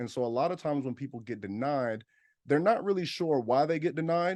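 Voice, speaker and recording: Against a quiet background, a man with a dark, mellow tone talks at a fairly quick pace with ordinary pitch variation. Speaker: business funding educator. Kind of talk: webinar presentation. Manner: fast; loud.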